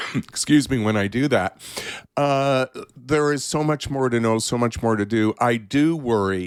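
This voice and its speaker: The recording sounds dry and close, with no echo. A man talks, his pitch varying in an ordinary way. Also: very clean recording, silent background. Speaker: therapist. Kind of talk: interview.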